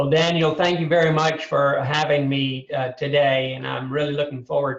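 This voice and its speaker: Somewhat breathy and monotone, a man with a Southern US accent speaks at a fairly high pitch and a moderate pace. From US South, Birmingham, Alabama. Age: 60s. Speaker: mental health advocate. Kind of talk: podcast interview. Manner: halting, many fillers and repetitions.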